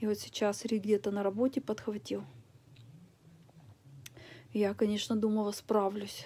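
Her voice is dark and mellow, with a tired tone and monotone, flat intonation. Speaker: vlogger. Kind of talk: casual vlog chat. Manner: weak, tired, ill voice. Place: home room.

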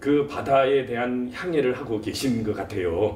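A man speaks at a fairly slow pace. Audible room echo and light background noise surround his voice. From South Korea. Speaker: talk show host, professor. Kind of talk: interview. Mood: polite, warm. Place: office.

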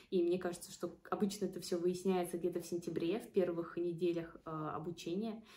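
Speaking at a fairly quick pace with hardly any pauses, a woman uses a fairly low pitch, a dark, mellow tone and a monotone, flat intonation. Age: 20s. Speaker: student and study-abroad consultant. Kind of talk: casual vlog talk.

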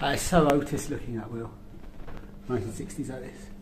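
Over clear background music and audible room echo, a man speaks at a medium pitch with ordinary pitch variation. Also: fairly quick pace.

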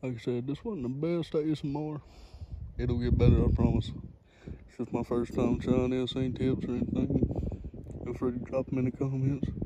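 Over loud background noise, a man whispers at a moderate pace, the sound dry with no echo. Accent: Southern US. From North Carolina. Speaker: ASMR creator. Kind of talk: ASMR whispering. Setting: outdoors by a pond. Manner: whispering. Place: waterside. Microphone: phone mic picks up breathing; phone near.

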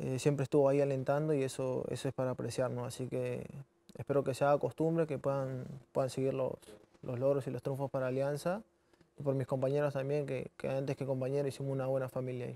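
Delivered at a very fast pace, a man's voice carries a dark, mellow tone and monotone, flat intonation. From Peru. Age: 20s. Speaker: professional footballer. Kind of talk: interview. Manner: halting, many repetitions. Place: studio. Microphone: lapel.

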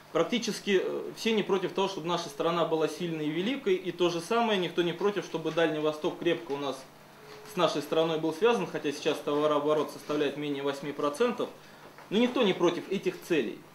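A man with a high voice talks at a fairly quick pace with ordinary pitch variation, and there's audible room echo and light background noise. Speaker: party representative. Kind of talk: short speech and question. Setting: public hearing round table. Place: meeting room.

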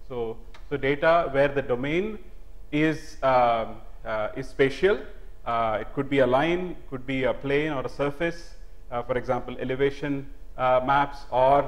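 A man at a fairly slow pace, with ordinary pitch variation. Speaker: professor giving a public lecture. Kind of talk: lecture. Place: hall. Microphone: lapel.

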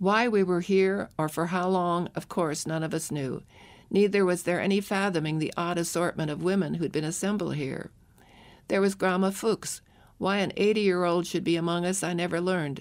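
A woman speaks in an unremarkable speaking voice, fairly low in pitch, at a moderate pace. Her intonation is fairly even, and the recording is very clean with a silent background. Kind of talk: audiobook narration of a memoir, first-person. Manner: somber and reflective, with emotion at the sadder moments.

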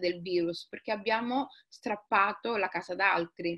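Quiet surroundings behind a female speaker. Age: 40s. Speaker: writer. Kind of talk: interview conversation. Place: home room. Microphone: webcam.

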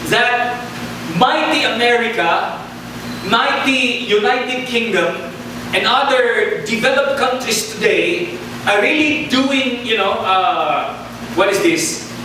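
Extremely high-pitched, a man uses a raised, projected voice with lively intonation at a very slow pace. Strong room echo and noticeable background noise fill the recording. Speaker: preacher. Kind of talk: sermon. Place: church.

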